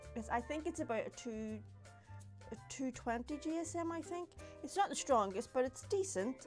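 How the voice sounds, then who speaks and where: Music plays behind a woman as she talks. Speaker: papercrafter. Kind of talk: craft tutorial talk to camera. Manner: casual, chatty.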